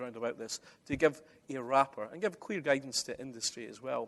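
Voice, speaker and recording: Fairly quick and medium-pitched, a man with a Scottish accent speaks with ordinary pitch variation in a dry, close recording without echo. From Scotland. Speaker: conference speaker, construction digitisation expert. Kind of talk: conference presentation. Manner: conversational, uses many fillers.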